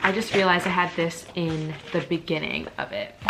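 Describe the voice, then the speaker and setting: With music in the background, a woman speaks at a fairly low pitch with fairly even intonation. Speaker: vlogger and yoga teacher. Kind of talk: casual vlog talk to camera. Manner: fast; hesitant, many fillers.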